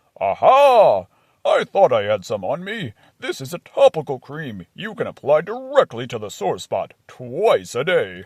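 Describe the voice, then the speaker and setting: Over a quiet background, a man puts on a booming, cartoonish character voice at a moderate pace. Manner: matter-of-fact, jolly.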